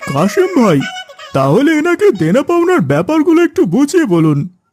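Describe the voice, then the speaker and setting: The voice is a cartoonish character voice at a moderate pace. Faint music plays in the background. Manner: courteous but pressing.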